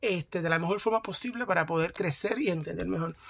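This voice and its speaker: A man speaks at a fairly quick pace with a Puerto Rican accent. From Puerto Rico. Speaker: YouTuber. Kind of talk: vlog commentary. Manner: halting, with many fillers. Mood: enthusiastic, supportive. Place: home room. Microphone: phone near.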